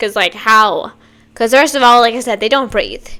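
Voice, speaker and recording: A woman talks in an animated tone at a fairly high pitch, her voice bright and sharp. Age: 20s. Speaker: reaction youtuber. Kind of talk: casual reaction commentary.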